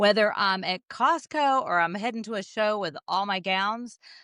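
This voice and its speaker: A voice with a Southern accent and a bright, sharp tone speaks at a moderate pace against a quiet background. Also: woman, dry, close sound with no echo. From US South, Jackson, Mississippi. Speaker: jazz singer. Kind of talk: casual interview.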